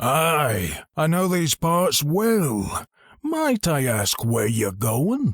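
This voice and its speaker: A man does a put-on character voice, gravelly and fairly high in pitch, with very wide pitch swings. He speaks at a very slow pace with very even loudness. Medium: read story. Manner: terse, guarded.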